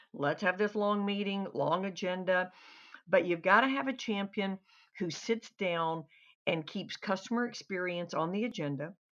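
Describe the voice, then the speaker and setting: A woman's ordinary speaking voice at medium pitch, fairly slow, with ordinary pitch variation and a quiet background. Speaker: customer service trainer. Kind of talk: interview answers.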